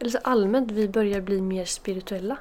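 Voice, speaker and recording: A woman speaks at a moderate pace with a dark, mellow tone. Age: 20s. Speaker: podcast host. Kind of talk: casual Q&A monologue while doing makeup. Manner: soft, calm sleep-oriented talk.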